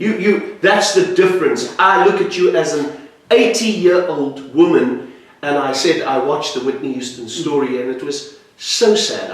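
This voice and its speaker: Noticeable background noise and audible room echo fill this clip of a man speaking at a moderate pace. His pitch is high and his intonation lively. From South Africa. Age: 50s. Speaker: jazz musician and interviewer. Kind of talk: interview.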